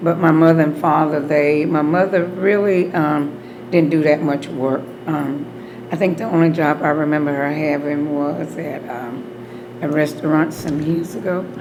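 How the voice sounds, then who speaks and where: Over noticeable background noise and audible room echo, a woman with an Alabama accent speaks at a fairly slow pace in a very deep, low voice with fairly even intonation. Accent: Southern US (Alabama). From US South, Opelika, Alabama. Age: 60s. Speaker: beauty salon owner. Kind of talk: oral history interview.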